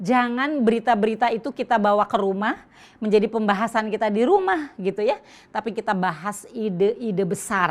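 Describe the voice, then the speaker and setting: In a very clean recording with a silent background, a woman speaks with an unremarkable speaking voice, fairly high in pitch and with ordinary pitch variation. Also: fairly quick pace. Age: 60s. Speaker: Islamic women's speaker. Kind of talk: religious lecture.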